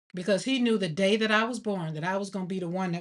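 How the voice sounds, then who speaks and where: A woman speaks in an animated tone at a medium pitch. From Alabama, US South. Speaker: artist and grief livestreamer. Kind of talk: casual livestream chat while painting. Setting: home art studio livestream.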